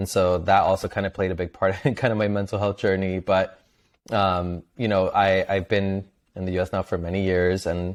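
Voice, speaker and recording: A man talks in a very deep, low voice. His intonation is monotone and flat. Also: quiet background. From Venezuela. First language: Spanish. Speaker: mental health advocate and content creator. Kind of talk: interview.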